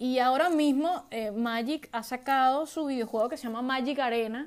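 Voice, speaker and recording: A woman has an unremarkable speaking voice with ordinary pitch variation. She keeps a moderate pace in a very clean recording with a silent background. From Venezuela. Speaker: podcast host, IT worker and gamer. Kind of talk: casual solo podcast monologue.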